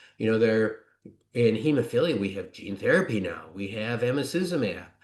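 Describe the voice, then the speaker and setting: A man with an American accent talks at a fairly quick pace, his medium-pitched voice full of lively intonation. Audible room echo surrounds the recording. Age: 60s. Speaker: physician and researcher. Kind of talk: conference presentation. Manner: hesitant with fillers.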